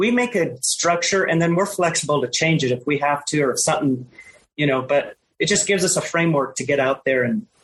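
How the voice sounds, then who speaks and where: Speaking at a fairly quick pace with lively intonation, this is an unremarkable speaking voice. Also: woman. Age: 50s. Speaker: retired long-distance hiker. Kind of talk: casual interview chat.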